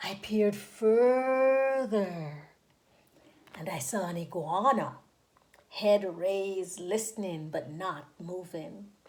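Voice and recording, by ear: The speaker moves at a very slow pace, with a slightly mellow tone and ordinary pitch variation. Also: woman, medium pitch for a woman.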